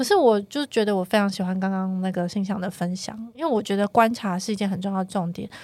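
Her pitch varies in an ordinary way as the woman races along at a very fast pace. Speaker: chief editor and show planner. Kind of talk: casual chat. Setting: studio.

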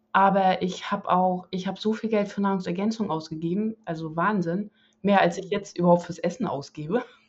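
A woman talks at a fairly quick pace and a medium pitch. Her voice is somewhat breathy, with fairly even intonation. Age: 40s. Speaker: interview guest, carnivore diet convert. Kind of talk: casual interview.

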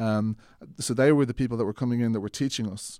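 This is a man speaking. He has an Irish accent. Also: very clean recording, silent background. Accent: soft Irish, often heard as Mid-Atlantic. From Ireland. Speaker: filmmaker. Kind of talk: casual interview.

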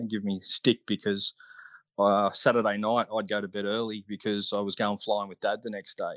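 With an Australian accent, a man with fairly low pitch speaks at a fairly quick pace in a monotone, flat way, in a dry, close sound with no echo against a quiet background. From Australia, Melbourne. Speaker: scale aeromodeller, ex-military. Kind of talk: casual interview. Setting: online call.

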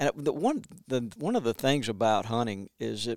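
In an Alabama accent, a man speaks at a moderate pace in a medium-pitched voice with lively intonation. The recording is very clean, with a silent background and a dry, close sound with no echo. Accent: Southern US (Alabama). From Montgomery, Alabama. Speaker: conservation brand manager and author. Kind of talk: casual interview chat. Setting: office.

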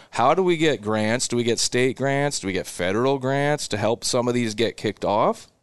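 A man with a Midwestern American accent speaks at a moderate pace and medium pitch. His pitch varies in an ordinary way, and the background is quiet. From Nebraska, Seward area. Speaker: cattle business owner. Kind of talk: casual interview.

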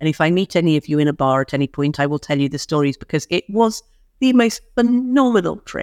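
Talking at a fairly quick pace, a woman with a fairly low pitch and an ordinary speaking voice is recorded in a dry, close sound with no echo and a quiet background. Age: 50s. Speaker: publishing CEO and speaker. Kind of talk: podcast interview.

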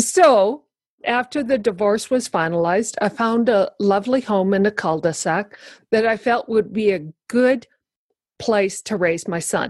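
A woman's ordinary speaking voice, fairly high in pitch, with ordinary pitch variation and a fairly slow pace. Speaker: guest sharing life story. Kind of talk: casual interview chat.

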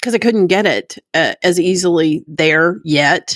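Speaking very slowly, a woman uses an American accent with ordinary pitch variation. The sound is dry and close, with no echo. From Texas, Dallas area (Plano). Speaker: recovering alcoholic sharing her story. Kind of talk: testimony.

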